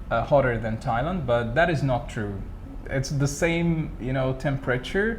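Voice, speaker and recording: With lively intonation, a man talks at a moderate pace in a room with audible echo. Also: medium pitch for a man. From Egypt (Cairo). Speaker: teacher. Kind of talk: interview.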